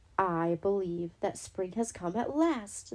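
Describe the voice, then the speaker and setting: A woman's gruff, put-on character voice at a medium pitch, delivered at a fairly slow pace. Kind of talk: bedtime story. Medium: read story.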